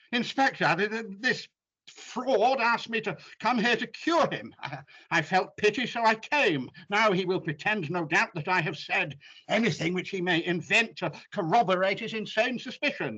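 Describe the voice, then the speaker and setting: In a put-on character voice, a man growls at a high pitch with lively intonation and a moderate pace. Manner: snarling, defiant.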